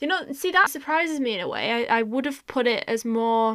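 Fairly quick, lively-intoned speech in a northern English accent. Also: woman. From northwest England. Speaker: podcast co-host. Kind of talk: casual chat.

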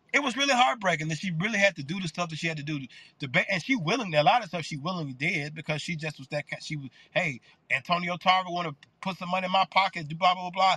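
A man's high voice in a Memphis accent, very fast pace and big swings in loudness, with a dry, close sound with no echo. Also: lively intonation. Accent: US Southern (Memphis). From Memphis, Tennessee. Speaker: pastor. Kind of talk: panel discussion.

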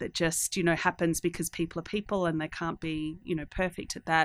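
The speaker talks in an Australian accent. The intonation is monotone and flat. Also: woman. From Australia, country town. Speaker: tech company CEO. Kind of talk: interview. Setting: studio. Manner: halting, many repeated words and fillers.

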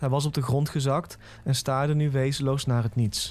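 With a dark, mellow, somewhat breathy tone, a man at medium pitch speaks at a moderate pace with fairly even intonation. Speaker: creepypasta narrator. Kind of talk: scripted horror story narration in first person.

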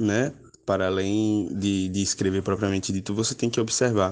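A man with a plain, everyday voice, fairly low in pitch, at a moderate pace with fairly even intonation, over a quiet background. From Alagoas, Brazil. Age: 20s. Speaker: poet and author. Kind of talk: interview.

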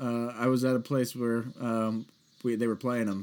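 Here is a man with a normal speaking voice at medium pitch and an American accent. He talks at a fairly quick pace in a very clean recording with a silent background. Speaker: podcast host. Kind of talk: casual interview.

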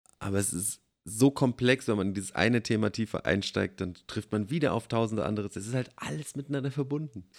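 A man speaks at a very fast pace in a fairly low pitch. His pitch varies in an ordinary way. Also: dry, close sound with no echo. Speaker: podcast co-host. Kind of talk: casual chat. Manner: halting.

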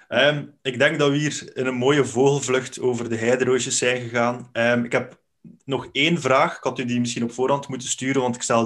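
Flat, monotone intonation in a Flemish accent. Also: man. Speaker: podcast host. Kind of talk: casual interview.

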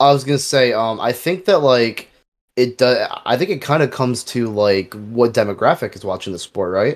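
A man with a plain, everyday voice speaks at a moderate pace and medium pitch. His intonation is lively, and the recording is very clean with a silent background. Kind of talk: casual banter podcast chat.

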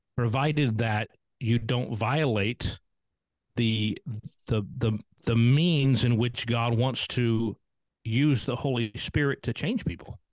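Recorded with a dry, close sound with no echo over a quiet background, a man with an unremarkable speaking voice talks at a medium pitch with ordinary pitch variation. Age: 50s. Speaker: pastor. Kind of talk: casual chat.

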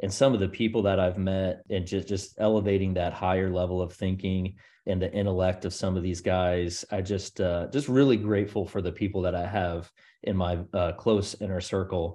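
Against a quiet background, a man with an American accent speaks at a moderate pace in a very deep, low pitch with a dark, mellow tone and fairly even intonation. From US South, Charleston, South Carolina. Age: 40s. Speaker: real estate investor. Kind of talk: interview.

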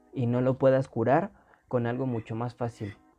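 A man talks at medium pitch. Behind him there is music. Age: 20s. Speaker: podcast co-host, university student. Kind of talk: casual chat.

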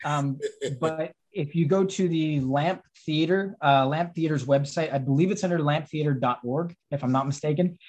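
An American-accented man talks at a moderate pace and a fairly high pitch with fairly even intonation, in an unremarkable speaking voice. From Texas. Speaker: film director and writer. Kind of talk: casual interview. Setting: video call.

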